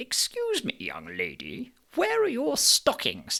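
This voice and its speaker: A man's put-on character voice at a fairly slow pace, in a dry, close sound with no echo. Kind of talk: formal. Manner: stern, reproving.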